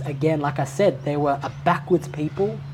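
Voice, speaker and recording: A woman talks with an Australian accent at a moderate pace. Her voice is somewhat breathy, very deep and low in pitch, with fairly even intonation. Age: 30s. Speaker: aspiring Islamic scholar. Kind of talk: casual chat. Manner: articulate.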